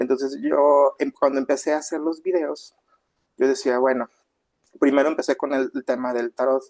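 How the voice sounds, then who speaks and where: The sound is dry and close with no echo as a man speaks at a moderate pace, fairly high in pitch with fairly even intonation. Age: 40s. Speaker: astrologer and tarot reader. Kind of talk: interview. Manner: hesitant, many fillers.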